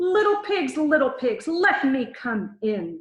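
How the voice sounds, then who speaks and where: A woman's put-on character voice, high-pitched with very wide pitch swings, at a fairly slow pace with a slight echo. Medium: read story. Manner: menacing.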